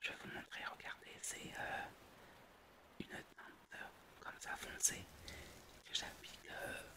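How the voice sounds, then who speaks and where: Whispering at a very slow pace, the speaker leaves long, frequent pauses, and the loudness swings widely. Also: woman. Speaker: ASMR content creator. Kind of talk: casual ASMR talk to camera, makeup tutorial. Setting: studio microphone. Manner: whispered, soft-spoken.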